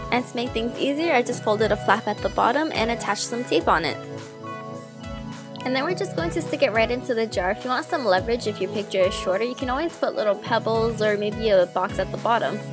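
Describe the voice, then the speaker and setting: Against background music, a woman talks at a very fast pace, her fairly high pitch jumping in very wide swings. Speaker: DIY crafts YouTuber. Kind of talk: tutorial voice-over.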